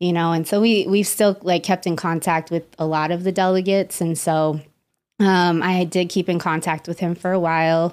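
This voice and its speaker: Someone with an American accent speaks at a moderate pace in a flat monotone. The recording is very clean with a silent background. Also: woman, fairly low pitch for a woman. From Las Vegas, Nevada. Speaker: psychotherapist. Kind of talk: casual chat.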